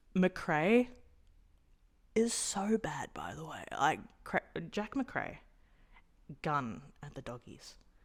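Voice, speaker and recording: Talking in an Australian accent, a woman uses vocal fry at a medium pitch with very wide pitch swings and big swings in loudness. Her pace is very slow, broken by long, frequent pauses. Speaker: sports vlogger. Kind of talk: casual vlog commentary. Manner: animated.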